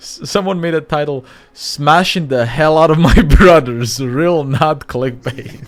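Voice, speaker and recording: Speech at a fairly slow pace shows ordinary pitch variation and big swings in loudness, with noticeable background noise. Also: man, fairly high pitch for a man. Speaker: streamer. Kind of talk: casual chat.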